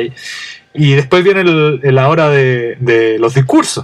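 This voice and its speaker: A man speaks with a Chilean accent. His pitch variation is ordinary. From Chile, Santiago. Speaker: podcast host. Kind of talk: casual monologue.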